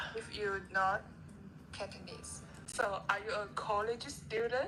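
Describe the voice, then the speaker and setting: A woman speaks with a Chinese accent at medium pitch and a fairly slow pace. Her intonation is fairly even, and audible room echo surrounds her voice. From China. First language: Mandarin Chinese. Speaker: college student chatting with a stranger. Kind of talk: casual chat. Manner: halting.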